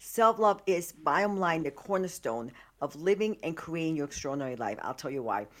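A woman talks at a fairly quick pace in an animated tone, with very wide pitch swings. The recording is very clean with a silent background. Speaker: life coach and hypnotherapist. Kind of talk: interview. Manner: high-energy, animated.

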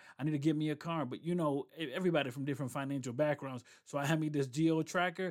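Delivered very fast with hardly any pauses and fairly even intonation, the speech comes through on a very clean recording with a silent background. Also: man, fairly high pitch for a man. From Rochester, New York, with some years in Puerto Rico. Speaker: podcast host and strategy coach. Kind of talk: motivational monologue; casual interview.

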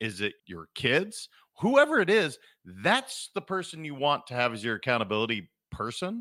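A man with an American accent speaks at a moderate pace in an animated, bright, sharp tone with very wide pitch swings. The sound is dry and close with no echo, in a very clean recording with a silent background. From Montana. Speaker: leadership and performance coach. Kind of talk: casual interview chat.

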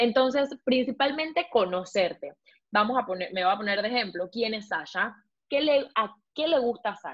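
A woman talks at a moderate pace in a fairly high pitch. Her tone is animated. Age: 20s. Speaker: beauty blogger and pilot, former beauty queen. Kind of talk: casual interview.

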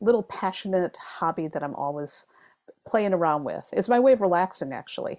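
This woman has an unremarkable speaking voice at a medium pitch. Her pace is moderate and her intonation lively. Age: 50s. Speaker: tarot reader and author. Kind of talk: casual interview chat. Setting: video call.

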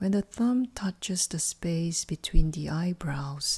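A calm, soothing, dark and mellow voice, somewhat breathy, at a very slow pace, on a very clean recording with a silent background. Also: woman. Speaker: life coach and sophrologist guiding a meditation. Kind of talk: guided meditation. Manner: slow, calm, soothing; gentle, evenly paced, instructional.

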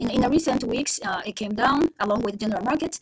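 This woman talks at a fairly quick pace in a high voice with lively intonation and a Japanese accent. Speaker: stock podcast host. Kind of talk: solo podcast monologue. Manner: halting, many fillers.

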